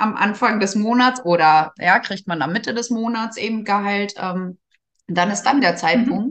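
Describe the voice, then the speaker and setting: The pitch moves in an ordinary way in an ordinary speaking voice. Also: woman, medium pitch for a woman, moderate pace. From northern Germany, Gifhorn district, Lower Saxony. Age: 30s. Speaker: care service manager and network marketer. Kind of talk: interview.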